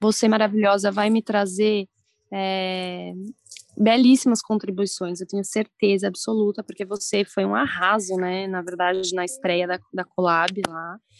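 An unremarkable speaking voice moves at a fairly slow pace with fairly even intonation. The sound is dry and close, with no echo. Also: woman, medium pitch for a woman. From interior of São Paulo state, Brazil. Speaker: journalist and surf blogger. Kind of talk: casual interview.

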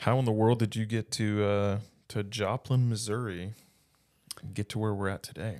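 In a very clean recording with a silent background, a man speaks at a moderate pace and fairly low pitch, with long, frequent pauses. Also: fairly even intonation. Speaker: pastor, podcast host. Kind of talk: casual interview. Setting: office.

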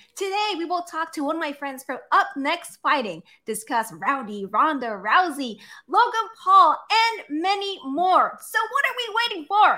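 At a moderate pace, a woman speaks in a raised, projected voice of extremely high pitch with very wide pitch swings. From Philippines. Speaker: podcast co-host. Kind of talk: casual chat.

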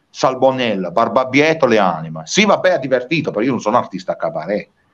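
Vocal fry runs through a man's fairly high-pitched voice. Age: 40s. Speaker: singer-songwriter. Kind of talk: interview. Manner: animated.

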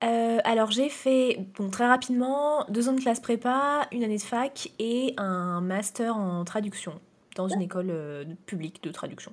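Here a woman with an ordinary speaking voice talks in a fairly high pitch with lively intonation. Her pace is fairly slow. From France. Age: 30s. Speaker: fantasy novelist. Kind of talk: interview.

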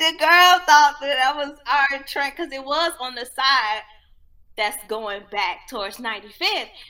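A woman with a high pitch uses a raised, projected voice and very wide pitch swings. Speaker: podcast host. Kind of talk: casual chat.

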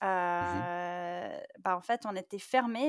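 A woman speaks with ordinary pitch variation in a dry, close sound with no echo, on a very clean recording with a silent background. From US, California (Palo Alto). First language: English (speaking French). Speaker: tech startup campus director. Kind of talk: interview.

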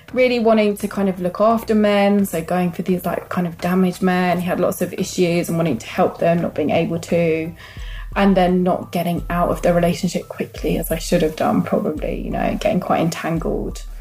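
Fairly quick speech from a woman at medium pitch, with fairly even intonation and noticeable background noise. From London. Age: 40s. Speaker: single mother. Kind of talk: interview.

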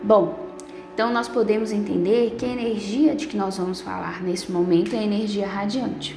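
A woman talks at a medium pace, her voice echoing audibly off the room amid noticeable background noise. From Brazil, Minas Gerais. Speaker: spiritist lecturer and mediumship instructor. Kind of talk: lecture.

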